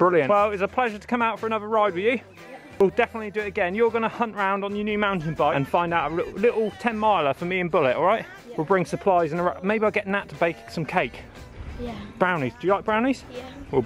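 Very fast and high-pitched, a man talks with ordinary pitch variation over light background noise in a dry sound with no echo. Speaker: cycling vlogger. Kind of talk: casual vlog chat. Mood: jokey, upbeat. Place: bicycle. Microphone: phone near.

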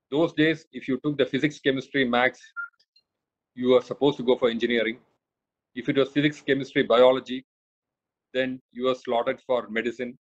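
Against a quiet background, a man speaks at a fairly quick pace in a monotone, flat intonation, broken by long, frequent pauses. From India, Kerala (Kochi). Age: 50s. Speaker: senior civil servant. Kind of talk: lecture. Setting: video call. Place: home room. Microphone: phone near.

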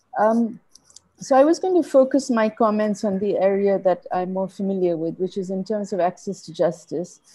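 A woman speaks at medium pitch and a moderate pace, her tone dark and mellow and somewhat breathy. Her intonation is lively, and the background is quiet. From Bangladesh. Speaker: barrister; conference panelist. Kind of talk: conference presentation; Q&A discussion. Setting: video call. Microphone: video call.

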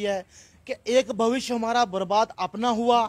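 A man talks at an extremely high pitch and a fairly slow pace. His intonation stays fairly even. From Doda district, Jammu and Kashmir; Jammu and Kashmir. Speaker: daily wage worker, local resident. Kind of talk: interview. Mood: aggrieved, earnest complaint. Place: street. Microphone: handheld.

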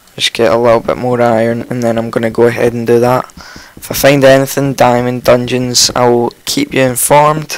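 A man talks in a croaky voice at a medium pitch. His pace is fairly slow, with little pitch movement.

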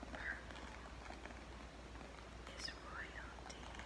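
This is a woman's voice. She speaks at a very slow pace. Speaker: ASMR creator. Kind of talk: ASMR session. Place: home room. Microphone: phone near.

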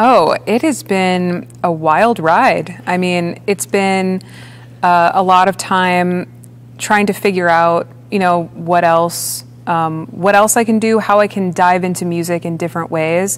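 In an American accent, a woman talks at a fairly slow pace and fairly low pitch with ordinary pitch variation. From US Midwest, Chicago area. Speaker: orchestral percussionist; guest. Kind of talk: interview. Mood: relaxed, reflective. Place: stage. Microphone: lapel.

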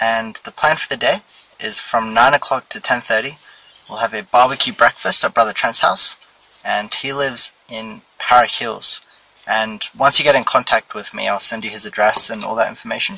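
A moderate pace in a dry sound with no echo. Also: man. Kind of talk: casual announcement. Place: car. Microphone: phone near.

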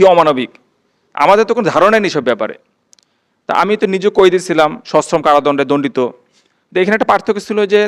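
His voice sits at a high pitch for a man. A man talks with lively intonation. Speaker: released prisoner. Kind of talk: public speech.

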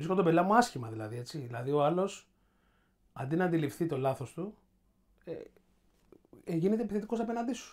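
Very fast speech broken by long, frequent pauses. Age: 40s. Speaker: podcast host. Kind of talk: casual chat.

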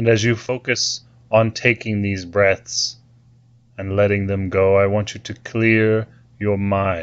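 A man at a very slow pace, calm and soothing in tone, with monotone, flat intonation. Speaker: guided meditation leader. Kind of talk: guided meditation. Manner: slow, calm, soothing.

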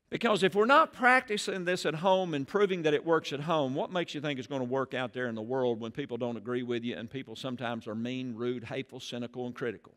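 A man at a very fast pace against a quiet background. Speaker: pastor. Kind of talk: sermon. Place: church. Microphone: headset.

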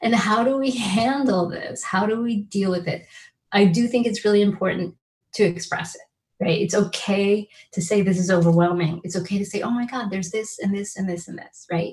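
A woman speaks in a somewhat breathy voice. Her pitch varies in an ordinary way. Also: moderate pace. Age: 50s. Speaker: law professor. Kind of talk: keynote lecture. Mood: warm, earnest. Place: home room. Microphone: webcam.

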